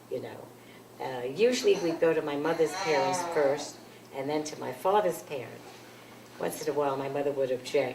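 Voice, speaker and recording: With a New York accent, a woman speaks at a moderate pace in a very deep, low pitch with ordinary pitch variation and long, frequent pauses, recorded with audible room echo and noticeable background noise. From New York City. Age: 80s+. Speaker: grandmother interviewed by family. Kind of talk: oral history interview. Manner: halting.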